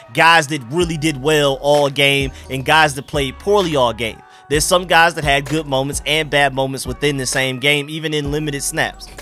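Faint music plays in the background of a dry recording with no echo. The speech runs at a moderate pace. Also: man. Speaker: sports fan channel host. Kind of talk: sports commentary vlog. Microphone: studio mic.

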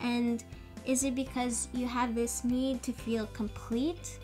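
Clear music in the background accompanies a woman talking at a very slow pace. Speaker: vlogger. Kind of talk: casual vlog chat.

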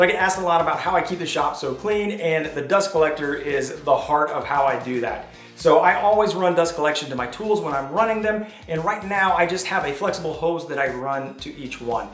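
Faint music plays in the background, and audible room echo surrounds the voice. A man talks at a fairly quick pace with hardly any pauses. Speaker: woodworking channel host. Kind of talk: shop tour commentary. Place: garage.

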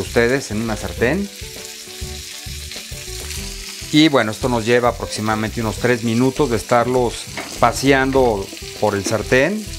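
A man speaks at a moderate pace with ordinary pitch variation. Background noise is noticeable. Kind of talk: cooking tutorial. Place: kitchen. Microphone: lapel.

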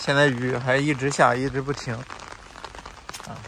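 A man's medium-pitched voice is heard over a fair amount of background noise. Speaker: travel vlogger living in a three-wheeler camper. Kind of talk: casual vlog monologue to viewers. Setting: outdoors and inside a small camper in the rain. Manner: animated, chatty.

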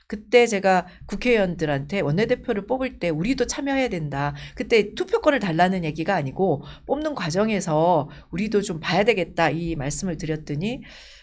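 A woman's pitch swings very widely as she talks. She keeps a moderate pace. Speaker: politician. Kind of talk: interview. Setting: studio. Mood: warm, animated storytelling. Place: studio. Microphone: lapel.

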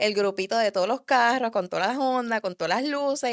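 A woman with a Puerto Rican accent, a fairly quick pace, and ordinary pitch variation, in a dry sound with no echo and a quiet background. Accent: Puerto Rican accent, kept. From Puerto Rico, raised in the US from early childhood. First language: English (speaking Spanish). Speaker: car enthusiast and drag racer; podcast guest. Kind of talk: casual interview chat; interview answer. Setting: studio. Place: studio. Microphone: studio mic.

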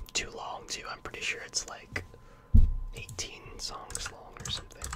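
Over loud background noise, a soft-spoken man whispers. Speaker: music reviewer. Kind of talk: casual commentary. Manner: soft close-mic whisper. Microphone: studio mic.

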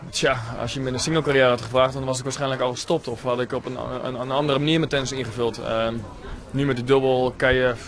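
A man talks at a very fast pace in monotone, flat intonation. There is light background noise. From Netherlands, Leerdam; Netherlands. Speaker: professional tennis player. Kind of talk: post-match interview. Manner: halting, many filler words.

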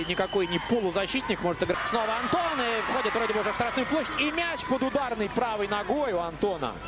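A man talks very fast with hardly any pauses, his pitch extremely high and his tone animated. His intonation is lively, and there is noticeable background noise. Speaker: football commentator. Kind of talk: live sports commentary, breathless play-by-play in step with the action. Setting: stadium broadcast. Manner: animated, fast, excitable; shifts to alarm at errors.

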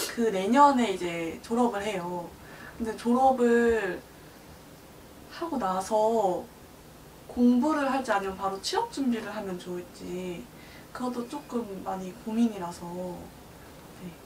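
Over noticeable background noise, a woman with a fairly high pitch and ordinary pitch variation talks at a very slow pace, her loudness swinging widely, with long, frequent pauses. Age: 20s. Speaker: client at a fortune-teller. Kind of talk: consultation.

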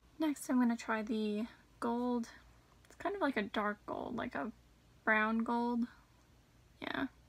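A woman speaks at a fairly slow pace with ordinary pitch variation. Her loudness swings widely. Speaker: beauty vlogger. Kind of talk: casual makeup tutorial chat. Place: home room. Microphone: phone near.

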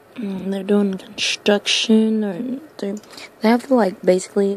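Intonation stays fairly even in a dry sound with no echo. There is light background noise. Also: woman. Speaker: ASMR eater. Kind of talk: ASMR eating video. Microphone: phone near.

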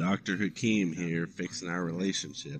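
Against clear background noise, a man does a put-on character voice with a very deep, low pitch at a moderate pace.

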